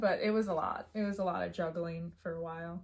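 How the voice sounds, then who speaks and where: A woman speaks with a Midwestern accent. Her pitch variation is ordinary. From US Midwest. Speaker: pet content creator. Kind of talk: casual chat.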